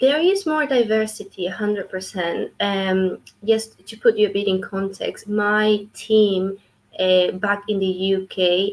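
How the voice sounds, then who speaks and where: A woman with a Spanish accent speaks at a fairly slow pace. Her medium pitch shows ordinary variation. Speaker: clinical research associate. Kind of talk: interview.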